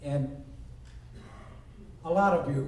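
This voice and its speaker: Amid audible room echo and noticeable background noise, a man talks at a fairly high pitch with ordinary pitch variation. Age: 60s. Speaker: sheriff candidate. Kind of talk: debate statement.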